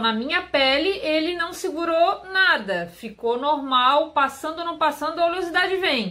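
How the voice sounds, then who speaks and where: Her high-pitched voice has lively intonation at a moderate pace. The woman leaves hardly any pauses. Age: 30s. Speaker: beauty youtuber. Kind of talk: product review vlog. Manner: chatty.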